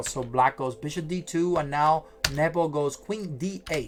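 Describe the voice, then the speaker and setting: A fairly high-pitched male voice with ordinary pitch variation and noticeable background noise. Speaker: chess streamer. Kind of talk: live stream chess commentary. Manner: hesitant, many fillers.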